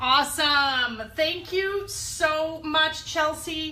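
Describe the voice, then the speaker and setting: Her voice raised and projected, a woman speaks with audible room echo. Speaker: network marketing leader hosting a company call. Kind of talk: conference call hosting. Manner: energetic.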